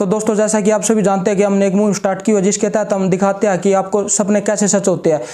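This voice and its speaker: Over noticeable background noise, a man speaks in a high, monotone voice with flat intonation, very even loudness and hardly any pauses. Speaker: interviewer, channel host. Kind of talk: channel intro to camera.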